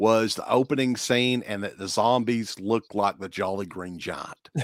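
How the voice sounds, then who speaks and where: A man with an Appalachian accent speaks at a moderate pace in dry, close sound with no echo. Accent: Appalachian Southern US. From eastern Kentucky. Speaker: horror podcast host. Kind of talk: casual chat.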